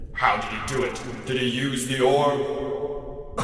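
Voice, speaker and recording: A put-on character voice at a fairly slow pace, with strong echo. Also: man, fairly high pitch for a man. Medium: audio drama. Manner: wry, authoritative.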